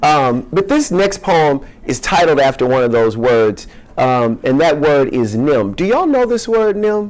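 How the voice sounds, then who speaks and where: Against noticeable background noise, a man with a fairly high pitch speaks fairly slowly, with hardly any pauses. His pitch swings very widely while his loudness stays very even. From US South, Louisiana (Shreveport). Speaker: poet. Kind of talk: casual audience chat; poetry reading.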